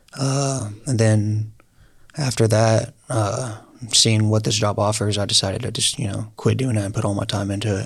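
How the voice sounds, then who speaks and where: A somewhat breathy voice with fairly even intonation. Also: man, fairly low pitch for a man, moderate pace. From Oklahoma, Lawton area. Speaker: entrepreneur, door-to-door salesman. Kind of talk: casual interview. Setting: studio.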